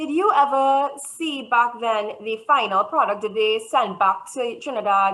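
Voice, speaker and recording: A woman's fairly high voice at a moderate pace, an unremarkable speaking voice. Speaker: interviewer. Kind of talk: interview questions.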